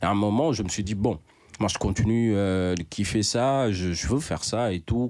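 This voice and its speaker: Against a very clean recording with a silent background, a man with a plain, everyday voice speaks at a moderate pace and a fairly low pitch with ordinary pitch variation. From Senegal, Dakar (Grand Yoff). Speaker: rapper. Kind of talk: casual interview.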